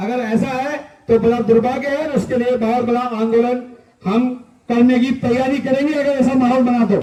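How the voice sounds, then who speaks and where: A man speaks at an extremely high pitch in a monotone, flat delivery. Audible echo fills the room. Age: 60s. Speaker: retired army officer and activist. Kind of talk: protest speech. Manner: impassioned.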